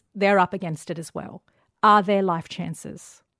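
A woman speaks at a moderate pace and medium pitch in an Australian accent. The recording is very clean with a silent background and a dry, close sound with no echo. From Western Sydney, Australia. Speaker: journalist and diversity advocate. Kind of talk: casual interview conversation.

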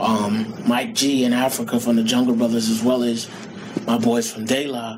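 With a New York accent, a man talks at a fairly slow pace in a medium pitch and fairly even intonation, with audible room echo and noticeable background noise. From Queens, New York. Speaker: rapper. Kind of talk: interview.

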